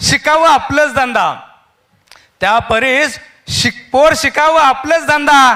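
A man's raised, projected voice, extremely high in pitch, with fairly even intonation. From Solapur, Maharashtra. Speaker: poet. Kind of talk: poetry reading. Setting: live event stage. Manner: repeating each line.

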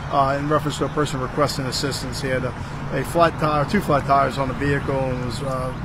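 This man's very fast speech comes through noticeable background noise. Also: dry sound with no echo. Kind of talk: press interview answer. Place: street. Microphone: handheld.

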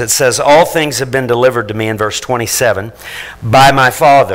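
A man speaks at a moderate pace with fairly even intonation. He has a plain, everyday voice. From Missouri Ozarks, Fordland; Missouri. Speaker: pastor. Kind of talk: sermon. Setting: church. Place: church.

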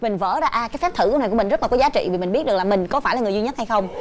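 Against light background noise, a woman speaks very fast with very wide pitch swings. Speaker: talk show host or guest. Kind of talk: talk show commentary, personal story. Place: studio. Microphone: lapel.

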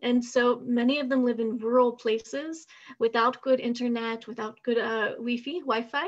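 Speaking at a moderate pace with an American accent, a woman uses a high pitch and fairly even intonation over a quiet background. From United States. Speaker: university professor. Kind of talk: webinar presentation. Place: home room. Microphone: video call.

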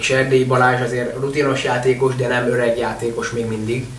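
A man at a fairly quick pace, flat and monotone, with noticeable background noise. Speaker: water polo podcast co-host. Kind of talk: casual chat.

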